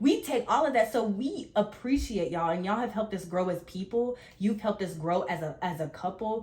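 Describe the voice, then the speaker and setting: A woman speaks fairly quickly at medium pitch. Her intonation is lively, and background noise is noticeable. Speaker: podcast co-host. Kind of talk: casual chat. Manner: fast.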